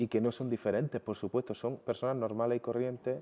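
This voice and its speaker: Words come from this man at a very fast pace. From Jaén, Andalusia, Spain. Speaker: fashion designer. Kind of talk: interview answer.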